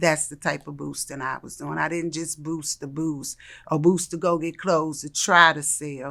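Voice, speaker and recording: A woman's very deep, low voice, bright and sharp with vocal fry, at a moderate pace on a very clean recording with a silent background. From Washington DC. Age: 60s. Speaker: interview guest sharing life story. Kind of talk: interview testimony. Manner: animated.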